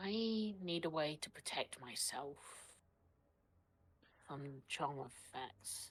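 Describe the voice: This put-on character voice moves at a slow pace, with a slightly husky edge and lively intonation. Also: woman, low pitch for a woman.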